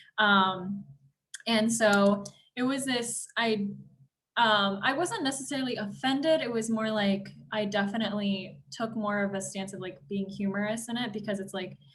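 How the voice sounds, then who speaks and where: With a Bay Area accent, a woman at medium pitch speaks at a moderate pace with ordinary pitch variation, and audible room echo surrounds her. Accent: Bay Area accent, sounds tired. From California, Bay Area. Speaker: panelist, exchange program alum. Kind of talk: panel discussion. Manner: hesitant, many fillers.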